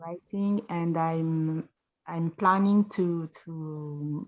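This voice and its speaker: In a very clean recording with a silent background, a woman with a non-native accent talks in a fairly low pitch with fairly even intonation. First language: not English. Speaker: participant. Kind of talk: casual chat. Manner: halting.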